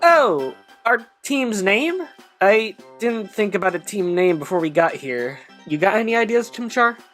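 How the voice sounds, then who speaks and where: A female-sounding voice puts on a character voice at medium pitch and a moderate pace, with faint music in the background. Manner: nervous, stammering.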